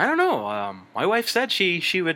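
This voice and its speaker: This man's voice has a bright, sharp tone. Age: 30s. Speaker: podcast co-host. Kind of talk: casual chat.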